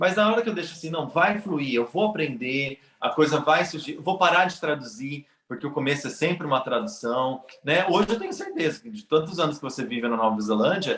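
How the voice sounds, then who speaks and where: His intonation is lively as the man speaks. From Brazil. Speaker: immigrant in Canada. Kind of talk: casual interview chat.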